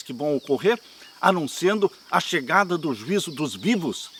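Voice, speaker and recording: Over noticeable background noise, a man with a high voice speaks at a moderate pace with lively intonation. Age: 70s. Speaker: pastor. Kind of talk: sermon. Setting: outdoors.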